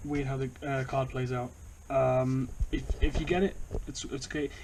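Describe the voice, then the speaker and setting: A man's fairly high voice with a British accent. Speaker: YouTuber, card game deck reviewer. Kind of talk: casual tutorial-style deck profile. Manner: quiet, trying not to be loud; halting, many fillers and repetitions.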